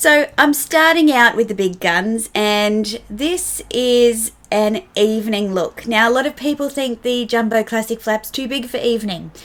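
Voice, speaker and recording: Hardly pausing, a woman with an Australian accent speaks at a fairly high pitch with ordinary pitch variation. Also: fairly slow pace. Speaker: fashion vlogger. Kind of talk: casual talk to camera about fashion.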